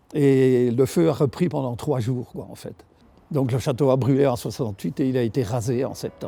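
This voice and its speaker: A man speaks at a moderate pace. Background music runs throughout. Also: medium pitch for a man, ordinary pitch variation. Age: 70s. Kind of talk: interview answer.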